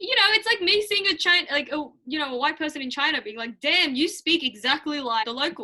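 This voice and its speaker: With an Australian accent, a woman talks at a fairly quick pace in a raised, projected voice, high in pitch. Her animated tone is bright and sharp, with very wide pitch swings. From Australia, raised there from age seven; early childhood in Hong Kong. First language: Mandarin Chinese. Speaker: student YouTuber. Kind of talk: casual chat.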